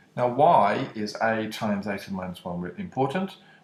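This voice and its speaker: A fairly low-pitched male voice with a British accent and very wide pitch swings. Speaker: maths teacher. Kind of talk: maths lesson video.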